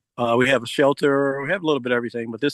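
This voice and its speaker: A man talks at a very fast pace at a medium pitch. His intonation is monotone and flat. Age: 60s. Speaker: guest storyteller. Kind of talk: casual talk on a live video call. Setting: outdoors in backyard, video call.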